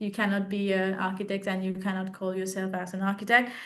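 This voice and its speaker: A woman with a medium pitch is heard with audible room echo. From Sri Lanka. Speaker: architecture graduate and art teacher. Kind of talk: interview Q&A. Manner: halting with many fillers.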